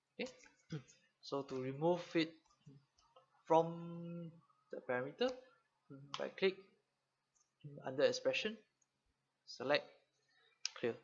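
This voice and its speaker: Fairly slow speech from a man, broken by long, frequent pauses. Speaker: software trainer. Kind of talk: online training livestream. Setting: livestream with live chat. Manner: many filler words.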